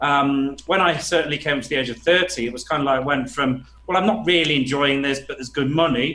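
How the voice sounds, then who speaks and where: A man with a northern English accent talks at a very fast pace. His pitch is fairly high, with fairly even intonation. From England, Nottingham. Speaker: business coach. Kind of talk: podcast interview.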